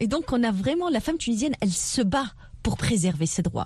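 This woman's pitch is high. It swings across a very wide range. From southern Tunisia. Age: 30s. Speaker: politician and entrepreneur. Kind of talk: radio interview.

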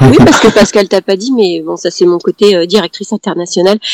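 With an ordinary speaking voice, a woman talks at a moderate pace and fairly even intonation in a dry, close sound with no echo. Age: 50s. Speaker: yoga teacher and author. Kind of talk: interview.

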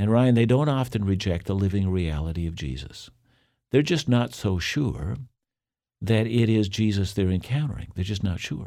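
A man with a plain, everyday voice talks at a moderate pace and a fairly low pitch. His intonation is lively, and the recording is very clean with a silent background. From Canada. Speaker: Bible teacher. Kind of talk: interview.

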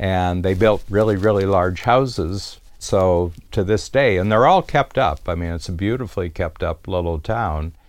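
A man's fairly low voice with a US Midwestern accent, at a fairly slow pace against a quiet background. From US Midwest, rural Ohio near Cleveland. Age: 70s. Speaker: business coach. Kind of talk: storytelling monologue.

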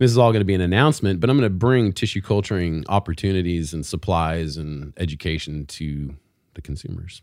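A man with a very deep, low pitch speaks at a fairly quick pace. His intonation is lively. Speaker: podcast host. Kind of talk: casual chat, catching up.

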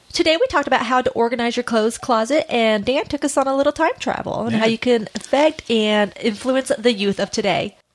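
A woman talks at a fairly quick clip with hardly any pauses, her voice high and her pitch moving in an ordinary way. Her loudness stays very even while noticeable background noise runs underneath. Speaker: podcast host. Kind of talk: casual chat. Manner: fast talker.

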